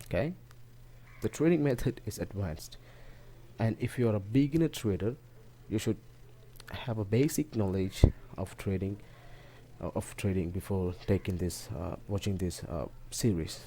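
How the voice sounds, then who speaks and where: A man with a non-native accent speaks at a moderate pace in a fairly low, somewhat breathy voice with a dark, mellow tone, lively intonation and long, frequent pauses. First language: not English. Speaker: forex trading teacher. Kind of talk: tutorial talk to camera.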